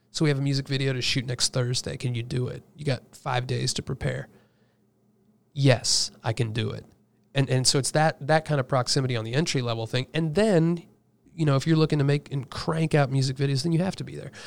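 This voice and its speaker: Speaking at a fairly quick pace, a man uses a normal speaking voice of medium pitch with fairly even intonation. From Indiana, US Midwest. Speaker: music producer. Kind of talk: casual interview chat.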